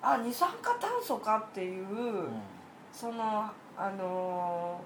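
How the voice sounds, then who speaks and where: Speaking at a very slow pace with long, frequent pauses, a woman is heard through audible room echo and noticeable background noise. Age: 30s. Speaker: podcast guest, aquarium hobbyist. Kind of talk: casual chat.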